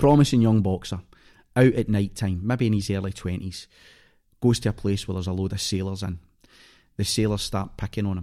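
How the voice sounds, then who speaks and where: Very fast and in a Scottish accent, a man speaks with a dark, mellow tone, fairly low pitch and fairly even intonation. The recording is very clean, with a silent background. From Scotland, Clydebank near Glasgow. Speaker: actor. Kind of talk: casual chat. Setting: studio.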